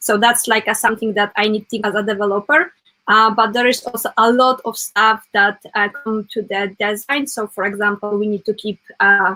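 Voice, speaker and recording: In a non-native accent, the speaker goes at a moderate pace with fairly even intonation. Faint music plays in the background. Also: woman, fairly high pitch for a woman. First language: not English. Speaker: web developer; guest. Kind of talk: casual interview chat. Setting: live stream. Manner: halting, many fillers. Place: home room.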